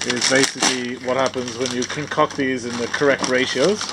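Speaking at a moderate pace, a man competes with loud background noise. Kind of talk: casual vlog chat. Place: boat. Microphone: phone near.

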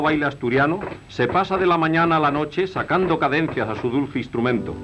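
A man's fairly high voice at a fairly quick pace, with ordinary pitch variation and music in the background. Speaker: newsreel announcer / narrator. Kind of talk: 1940s newsreel documentary narration. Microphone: old recording.

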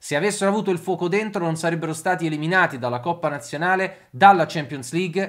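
The voice belongs to a man. The background is quiet. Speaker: sports commentator. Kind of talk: sports news commentary recounting a coach's angry rant, engaged and opinionated. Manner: animated, fast-paced, emphatic. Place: home room.

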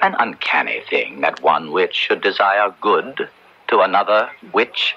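A man does a put-on character voice, low-pitched with big pitch swings and a fairly slow pace. His tone is bright and sharp, with vocal fry and a slightly husky edge.

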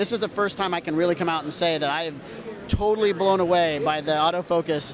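A man talks at a fast pace with a fairly high pitch and ordinary pitch variation, over clear background noise.

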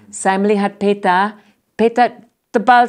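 With an English accent, the speaker talks at a fairly slow pace and with ordinary pitch variation over a quiet background. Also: woman. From United States. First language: English (speaking Indonesian). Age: 60s. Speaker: professor, ethnomusicologist; professor. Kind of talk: interview. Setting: studio. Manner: halting. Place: studio. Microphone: lapel.

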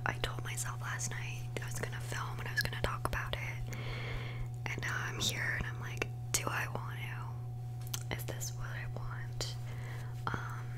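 Noticeable background noise sits under speech that moves at a fairly slow pace. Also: woman. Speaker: beauty vlogger. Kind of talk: casual vlog chat. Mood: hesitant, personal, opening up. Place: home room. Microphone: studio mic.

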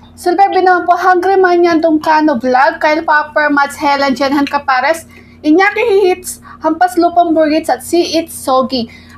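A woman's extremely high voice at a moderate pace, with ordinary pitch variation. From Philippines. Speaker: food vlogger. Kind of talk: mukbang eating vlog. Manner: casual, giggly. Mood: satisfied, cheerful. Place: home room.

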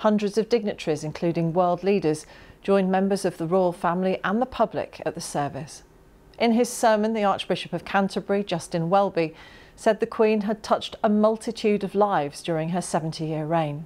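The woman talks fairly quickly. Her pitch shifts in ordinary ways. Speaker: news presenter. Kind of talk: news reading. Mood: calm, solemn. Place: studio.

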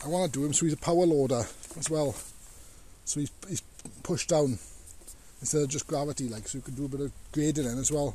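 Fairly quick and fairly even in intonation, a man's voice comes through dry with no echo. Light background noise is present. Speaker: hobbyist tractor owner. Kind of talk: casual vlog chat. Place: open country. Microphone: phone near.

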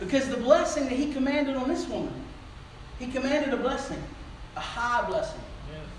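The speech comes at a fairly quick pace with fairly even intonation and long, frequent pauses, over light background noise and audible room echo. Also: man, extremely high pitch for a man. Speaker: preacher. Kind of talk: sermon. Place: church. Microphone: camera far.

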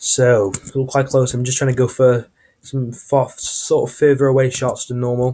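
A man's medium-pitched, somewhat breathy voice with a dark, mellow tone, monotone and flat in intonation, at a moderate pace. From Turkish heritage. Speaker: gaming YouTuber. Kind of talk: gameplay commentary. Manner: casual, hesitant with fillers.

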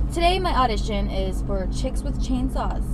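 Loud background noise surrounds a woman speaking at a moderate pace, the sound dry with no echo. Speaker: actress vlogger. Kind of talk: casual vlog chat. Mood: playful, slightly sultry. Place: car. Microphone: webcam.

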